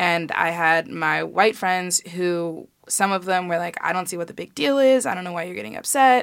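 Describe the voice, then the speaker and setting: With an American accent, a woman has an unremarkable speaking voice, talking at a moderate pace with a fairly low pitch, lively intonation, big swings in loudness and hardly any pauses. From Chicago. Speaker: college student, sorority member. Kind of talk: casual interview chat.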